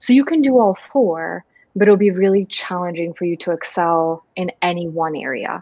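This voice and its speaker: With a normal speaking voice, a woman talks at a moderate pace. Her pitch sits fairly low and her intonation is lively. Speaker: organizational psychologist and co-host. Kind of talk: casual chat.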